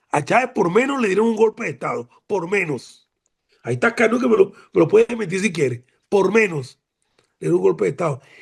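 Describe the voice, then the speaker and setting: Speaking very fast, a man uses very wide pitch swings in an animated tone. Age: 70s. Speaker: retired admiral, former defense minister. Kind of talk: academic seminar remarks.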